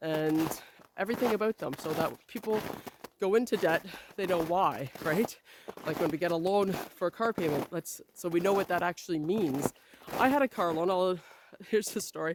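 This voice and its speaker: A woman with a Canadian accent and a plain, everyday voice, fairly low in pitch, with ordinary pitch variation at a moderate pace. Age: 40s. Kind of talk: casual talk to camera.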